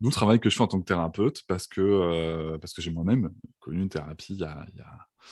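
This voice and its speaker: A man's very deep, low voice at a fairly quick pace with ordinary pitch variation. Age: 30s. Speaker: podcast guest, therapist and author. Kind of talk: casual interview. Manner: halting, many fillers and repetitions.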